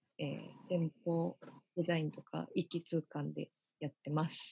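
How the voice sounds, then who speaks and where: A woman's somewhat breathy voice with a dark, mellow tone, at a moderate pace, dry and close with no echo. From Hyogo, Japan. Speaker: branding consultant. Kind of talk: interview.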